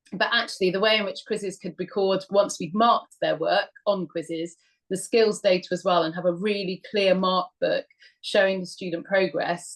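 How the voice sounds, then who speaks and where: Speaking with a British accent, a woman uses a medium pitch and fairly even intonation. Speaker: history teacher. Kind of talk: webinar talk. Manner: fast.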